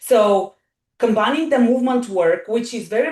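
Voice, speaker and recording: A woman speaks with an Eastern European accent. Her pitch varies in an ordinary way. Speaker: wellness coach. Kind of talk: podcast interview. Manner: animated.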